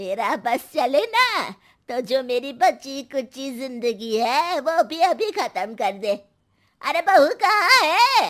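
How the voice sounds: Using a put-on character voice, a woman speaks at a slow pace in a high pitch, with big pitch swings and a fairly bright tone.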